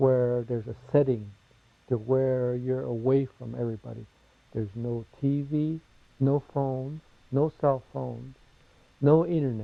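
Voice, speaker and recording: Speaking with a Southwestern US accent, a man talks at a fairly slow pace and medium pitch, his intonation fairly even and his pauses long and frequent. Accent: Navajo-accented English. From Navajo Nation, US Southwest. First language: Navajo. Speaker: interviewee. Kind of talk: interview testimony.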